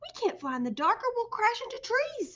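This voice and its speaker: A woman uses a squeaky, put-on character voice at an extremely high pitch and a fairly quick pace. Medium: read story.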